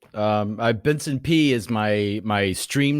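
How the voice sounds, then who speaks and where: A man speaks with an American accent and lively intonation. The recording is very clean, with a silent background. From US South, deep East Texas. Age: 40s. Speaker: stay-at-home dad, streamer, activist. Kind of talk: casual interview chat. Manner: talkative.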